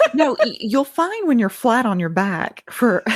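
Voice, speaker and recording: Speaking in a Southern US accent, a woman uses a high pitch with very wide pitch swings. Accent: good Southern. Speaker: podcaster guest. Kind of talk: casual chat.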